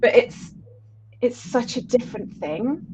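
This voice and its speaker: A woman with a slightly breathy voice keeps a moderate pace and mostly level intonation. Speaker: ambient-electronic musician. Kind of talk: interview. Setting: live stream.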